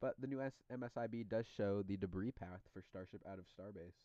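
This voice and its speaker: A man speaks at a moderate pace in a dark, mellow tone, the sound dry and close with no echo. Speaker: livestream host. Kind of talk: casual chat. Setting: live stream. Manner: loud.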